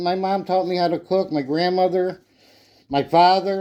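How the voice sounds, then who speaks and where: The speaker has a Chicago accent and a dark, mellow tone. The pace is moderate. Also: man. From Illinois, Chicago area. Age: 60s. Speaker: retired home cook, video creator. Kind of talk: casual cooking video. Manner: chatty, rambling conversational.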